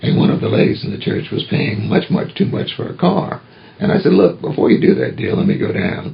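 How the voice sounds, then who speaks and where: Very wide pitch swings in an American accent, over noticeable background noise. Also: man. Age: 70s. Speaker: retired pastor. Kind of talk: oral history interview.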